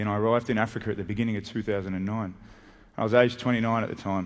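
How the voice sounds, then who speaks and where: A man at a very fast pace, fairly low in pitch, with ordinary pitch variation and a quiet background. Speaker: conference speaker. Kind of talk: public talk. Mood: serious, reflective storytelling. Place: stage. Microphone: headset.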